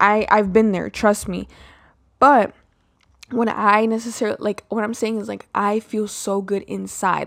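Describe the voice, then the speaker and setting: A woman speaks at a moderate pace and a medium pitch. Her intonation is monotone and flat. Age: 20s. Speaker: solo podcast host. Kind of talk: casual monologue. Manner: filler-heavy, frequent um and like.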